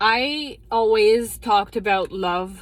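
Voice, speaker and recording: In a strong French Canadian accent, a woman speaks at a very slow pace with a fairly high pitch. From Quebec. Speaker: psychotherapist. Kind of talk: casual monologue vlog. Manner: animated, frustrated; halting, self-correcting.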